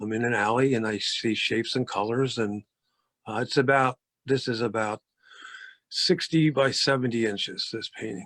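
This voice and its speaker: In a very clean recording with a silent background, a man at a medium pitch speaks at a moderate pace with ordinary pitch variation. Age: 60s. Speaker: painter. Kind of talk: artist talk about own paintings. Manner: halting, many fillers and repeats.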